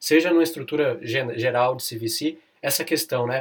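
Ordinary pitch variation at a moderate pace. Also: man. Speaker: lawyer and podcast host. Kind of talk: interview. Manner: relaxed, casual.

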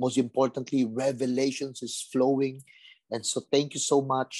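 At a moderate pace, a man with a fairly high voice speaks in a dry, close sound with no echo. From Philippines, Tondo, Manila. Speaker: pastor. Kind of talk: sermon.

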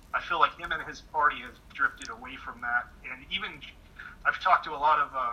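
A man in a West Coast American accent talks at a moderate pace over noticeable background noise. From California, near Sacramento. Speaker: political commentator. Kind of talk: interview. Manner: soft-spoken. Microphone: too quiet.

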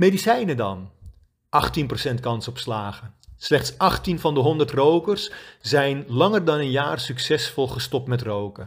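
At a very slow pace, a man speaks with a fairly high pitch, a somewhat breathy quality and very wide pitch swings. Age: 50s. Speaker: quit-smoking coach. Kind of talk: scripted narration.

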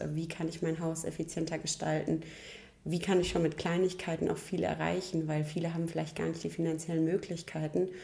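In a fairly low, dark and mellow voice with vocal fry, a woman speaks with monotone, flat intonation. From rural Germany. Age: young. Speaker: chimney sweep master. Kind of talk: interview.

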